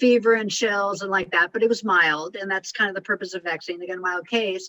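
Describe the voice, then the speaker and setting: Talking at a fairly quick pace, a woman uses a bright, sharp tone with ordinary pitch variation. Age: 60s. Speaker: communication and life coach. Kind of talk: coaching advice on a group call. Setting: group call. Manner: fast; intense.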